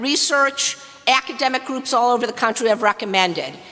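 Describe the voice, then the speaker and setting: In an American accent, a woman speaks at a high pitch with lively intonation over noticeable background noise. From US Midwest, Detroit. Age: 60s. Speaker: activist. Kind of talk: public comment. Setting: public meeting. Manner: forceful.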